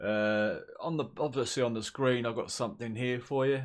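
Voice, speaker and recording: A man with a southern English accent on a very clean recording with a silent background. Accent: southern English drawl. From southern England. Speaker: gaming YouTuber. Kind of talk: casual gaming commentary. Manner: relaxed, rambling.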